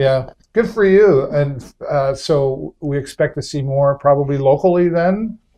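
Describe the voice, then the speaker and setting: This man has an ordinary speaking voice, pitched fairly high, with ordinary pitch variation. He talks at a fairly slow pace. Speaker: talk show host. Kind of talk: interview.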